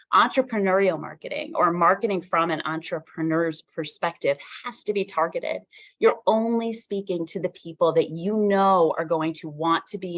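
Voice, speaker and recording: This woman has a normal speaking voice with a fairly low pitch and ordinary pitch variation. Her loudness swings widely, and the recording is very clean with a silent background. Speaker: subject matter expert speaker on entrepreneurial marketing. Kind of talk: workshop lecture.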